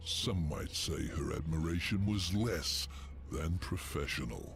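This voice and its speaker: Over clear background noise, someone uses a put-on character voice at a fairly slow pace. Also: man, very deep, low pitch for a man. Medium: video game. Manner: sly, mocking.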